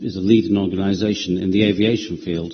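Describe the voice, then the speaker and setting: A man talks with a Yorkshire accent and fairly even intonation. Room echo is audible. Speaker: property developer. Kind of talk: committee presentation. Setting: council committee meeting. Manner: hesitant, many ums and uhs.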